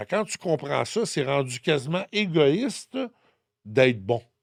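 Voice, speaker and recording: A man with a Quebec accent speaks at a fairly slow pace with lively intonation, in a dry, close sound with no echo on a very clean recording with a silent background. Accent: Québécois French. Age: 60s. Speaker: numerologist and spiritual guide. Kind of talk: podcast interview, personal testimony.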